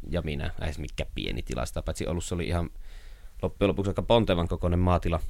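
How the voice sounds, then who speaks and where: Talking at a very fast pace, a man uses a very deep, low pitch with vocal fry and ordinary pitch variation. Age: 30s. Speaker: writer. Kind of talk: interview. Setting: his workroom. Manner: chatty, storytelling.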